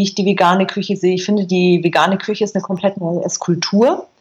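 The pace of this woman's speech is very fast. There is a somewhat breathy quality to her voice. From Bavaria, Berchtesgaden. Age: 40s. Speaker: food blogger and filmmaker. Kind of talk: interview.

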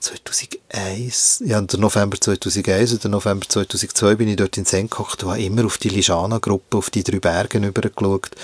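A man's fairly low voice in a monotone, flat delivery at a moderate pace. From Switzerland, Bern area (Hinterkappelen). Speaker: visual artist. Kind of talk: interview. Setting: recording booth.

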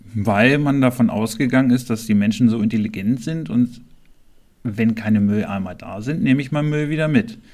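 A man talks in an ordinary speaking voice at medium pitch. His pitch varies in an ordinary way. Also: moderate pace. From Germany, Harz (Clausthal-Zellerfeld). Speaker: local politician and podcast co-host. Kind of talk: casual chat.

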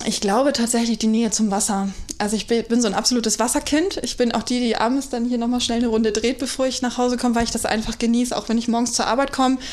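A woman talks very fast with hardly any pauses, at a fairly high pitch with fairly even intonation. Her loudness stays very even over noticeable background noise. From North Frisia, Germany. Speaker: deputy hotel manager. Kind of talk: casual interview chat. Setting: hotel, in person.

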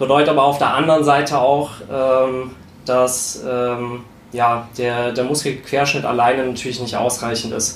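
Amid noticeable background noise and audible room echo, a man speaks at medium pitch and a moderate pace in a monotone, flat intonation. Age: 20s. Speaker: strength coach and sports science student. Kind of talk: casual chat. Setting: home studio.

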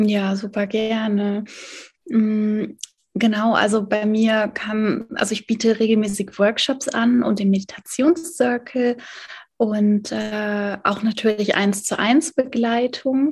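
Speaking at a very slow pace, a woman uses a fairly high pitch, fairly even intonation and a somewhat breathy voice. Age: 30s. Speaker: life coach and meditation teacher. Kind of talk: casual interview.

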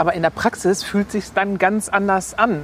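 The woman's voice sits at a medium pitch. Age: 50s. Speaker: pastor's wife and advertising copywriter. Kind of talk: casual interview while walking. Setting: outdoors, walking through a cemetery.

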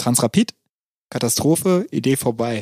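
The tone is dark and mellow, and the sound is dry and close with no echo. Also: man. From Berlin, Germany. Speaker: podcast co-host. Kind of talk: casual chat.

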